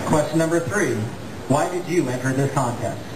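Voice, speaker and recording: A man with an American accent uses ordinary pitch variation amid noticeable background noise. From Iowa, USA. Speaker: auctioneer, contest finalist. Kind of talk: interview answer. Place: stage. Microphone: pa.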